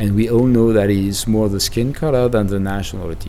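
A fairly low-pitched man's voice with a French accent, amid audible room echo and noticeable background noise. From France. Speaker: demographer. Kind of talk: interview. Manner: halting.

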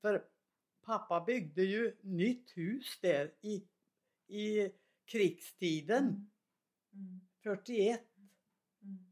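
Speaking very slowly with long, frequent pauses, a woman uses a medium pitch with ordinary pitch variation and big swings in loudness. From Värmland, Sweden (Svanskog). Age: 90s. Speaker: retired farm woman, mother. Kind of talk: casual conversation.

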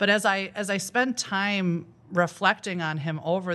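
A woman with a Midwestern American accent talks at a moderate pace in a bright, sharp tone. Her pitch variation is ordinary, and the background is quiet. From northern Illinois. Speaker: school principal. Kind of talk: interview.

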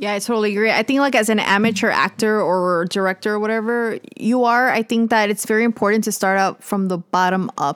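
With an unremarkable speaking voice, a woman talks at a fairly quick pace and fairly high pitch, her intonation fairly even, her loudness very even and her pauses hardly any, in a very clean recording with a silent background and a dry, close sound with no echo. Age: 20s. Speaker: podcast host and actress. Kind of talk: casual chat.

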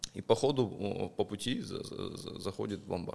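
With an unremarkable speaking voice, a man talks at a fairly low pitch with fairly even intonation. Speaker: investor and pawnshop owner. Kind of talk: casual chat.

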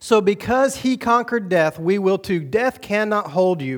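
At a fairly slow pace and with lively intonation, the voice comes through on a very clean recording with a silent background. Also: man. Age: 40s. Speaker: pastor. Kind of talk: sermon. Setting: church with congregation.

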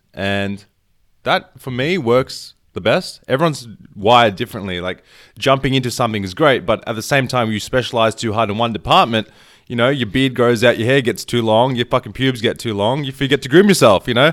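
A man with an Australian accent, medium pitch, ordinary pitch variation and a fairly quick pace, on a very clean recording with a silent background. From Australia, Melbourne. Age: 20s. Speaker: movement coach. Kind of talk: casual chat.

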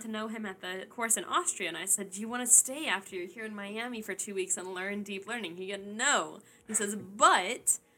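A woman with an American accent races along at a very fast pace with hardly any pauses, her fairly high, bright, sharp voice showing ordinary pitch variation. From Tennessee, US South. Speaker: podcast host and researcher. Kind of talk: casual chat.

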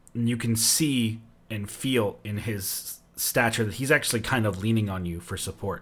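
With ordinary pitch variation, a passage is read aloud in a natural voice.

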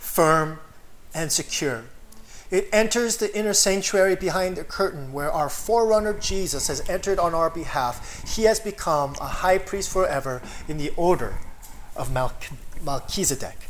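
Noticeable noise fills the background. The words come out very slowly. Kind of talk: sermon with consecutive interpreter.

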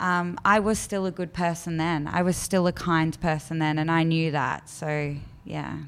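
A woman's fairly low voice in an Australian accent, monotone and flat, at a moderate pace. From Australia, Melbourne southeastern suburbs. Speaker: charity office worker, former drug user. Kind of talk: interview, personal story.

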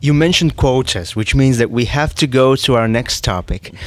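A man with a Latvian accent speaks with ordinary pitch variation. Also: very clean recording, silent background. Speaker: podcast co-host. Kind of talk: interview.

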